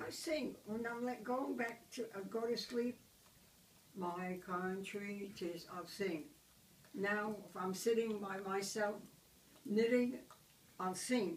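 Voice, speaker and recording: At a very slow pace, a woman speaks with a medium pitch and ordinary pitch variation. She leaves long, frequent pauses. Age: 80s+. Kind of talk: interview answer. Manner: positive, upbeat.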